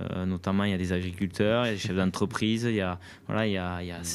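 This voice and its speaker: With a southwestern French accent, a man talks at a very fast pace in a fairly low pitch, recorded very cleanly against a silent background. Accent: southwest French. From southwest France, Aveyron. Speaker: national enduro team coach. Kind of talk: interview. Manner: halting, many repetitions and fillers.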